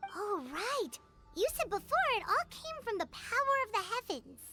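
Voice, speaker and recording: Music plays in the background behind a put-on character voice. It is pitched extremely high and moves at a moderate pace. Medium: video game. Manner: inquisitive.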